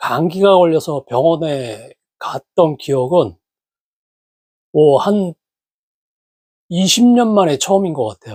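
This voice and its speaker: Very slow speech from a man at a fairly high pitch, with long pauses coming often. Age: 60s. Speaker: health YouTuber. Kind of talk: casual vlog talk. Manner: halting with many fillers.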